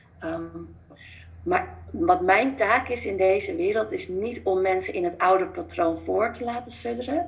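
The speaker is a woman going at a fairly slow pace. Audible room echo is present. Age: 30s. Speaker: former family doctor, natural healing coach. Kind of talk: interview.

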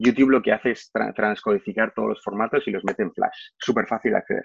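A man talks with ordinary pitch variation. The recording is dry and close, with no echo. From Spain, Barcelona. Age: 40s. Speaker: corporate trainer. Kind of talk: testimony. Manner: halting, frequent fillers and repeated words.

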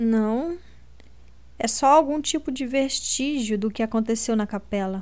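A woman speaks in a dramatic tone at a fairly slow pace, with long, frequent pauses. Her pitch is fairly high, with ordinary variation. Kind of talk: literary audiobook reading, first-person narration of Lina with dialogue. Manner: dramatic, expressive narration; shifts tone for each character's lines.

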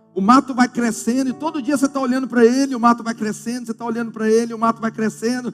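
Delivered very fast with hardly any pauses, the speech is monotone and flat over noticeable background noise. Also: man, extremely high pitch for a man. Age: 50s. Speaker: pastor. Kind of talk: sermon. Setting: church.

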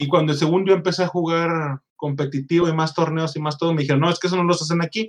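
Here a man has an unremarkable speaking voice. He moves at a fairly quick pace with fairly even intonation. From Mexico, Monterrey. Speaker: podcast host. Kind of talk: casual chat.

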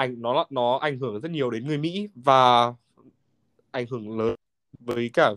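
A man's normal speaking voice at medium pitch, with ordinary pitch variation and a dry, close sound with no echo. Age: 20s. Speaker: finance graduate working in the US. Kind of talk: casual chat.

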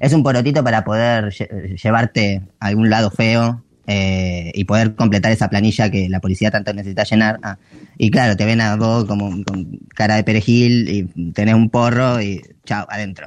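A man speaks in an ordinary speaking voice, fairly low in pitch, at a moderate pace. His intonation stays fairly even against a quiet background. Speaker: theatre producer. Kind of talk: interview.

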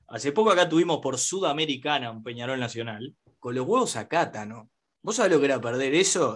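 A man talks in a plain, everyday voice at a fairly quick pace. His intonation is lively and his loudness swings a lot. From Uruguay. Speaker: podcast host. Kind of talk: casual chat.

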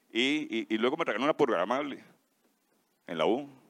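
This man talks at a fairly quick pace with lively intonation and a medium pitch. The sound is dry and close, with no echo. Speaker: relative giving a tribute. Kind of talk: tribute speech. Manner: halting.

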